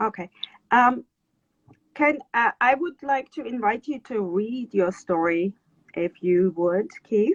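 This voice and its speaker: Speaking in a German accent, a woman talks at a very slow pace with long, frequent pauses. Her fairly high voice has lively intonation. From Germany. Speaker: writer and interviewer. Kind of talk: casual interview chat. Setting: Instagram live video call.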